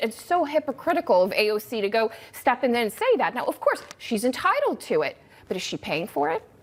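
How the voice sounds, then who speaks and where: A high-pitched woman at a fairly quick pace, with very wide pitch swings and noticeable background noise. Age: young. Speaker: TV news panelist. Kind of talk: TV panel discussion.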